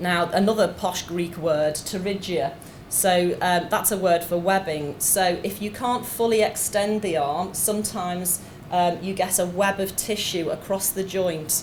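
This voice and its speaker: A woman speaks fairly slowly in a medium pitch with fairly even intonation. There is audible room echo and noticeable background noise. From Liverpool, England. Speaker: doctor, clinical geneticist. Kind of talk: lecture. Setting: conference stage with audience.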